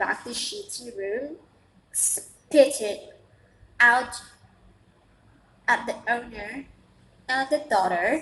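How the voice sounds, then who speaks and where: In an Indonesian accent, a woman speaks at a high pitch. Her intonation is lively. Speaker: vlogger, international student. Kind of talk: casual vlog monologue. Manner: halting, many repetitions and fillers.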